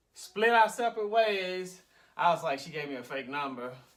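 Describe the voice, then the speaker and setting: Bright and sharp in tone, a man speaks at a high pitch with very wide pitch swings. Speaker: vlogger. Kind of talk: casual storytelling.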